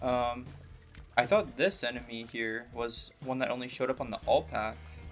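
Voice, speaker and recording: With music in the background, a man speaks at a moderate pace and medium pitch, using ordinary pitch variation. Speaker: gaming YouTuber. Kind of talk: gameplay commentary. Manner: casual, with fillers and hesitations.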